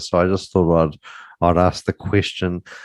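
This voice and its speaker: The background stays quiet while a man delivers his words at a moderate pace. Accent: New Zealand. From New Zealand. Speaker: podcast host. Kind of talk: interview.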